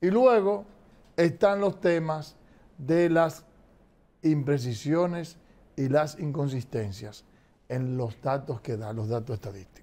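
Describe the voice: A man's fairly high voice, dark and mellow in tone, at a slow pace with ordinary pitch variation.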